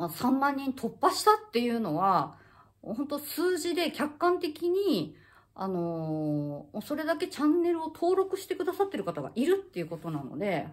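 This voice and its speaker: This woman has a high-pitched voice. Her pitch swings very widely. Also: moderate pace, quiet background. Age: 50s. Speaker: acupuncturist and health YouTuber; health YouTuber. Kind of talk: casual monologue to camera. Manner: halting, many fillers. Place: home room. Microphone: phone near.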